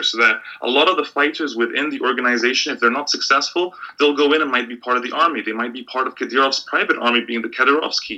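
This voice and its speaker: Over noticeable background noise, a man talks very fast at a fairly high pitch with ordinary pitch variation. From Middle East (Bahrain and Egypt). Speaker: sports and politics journalist. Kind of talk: interview.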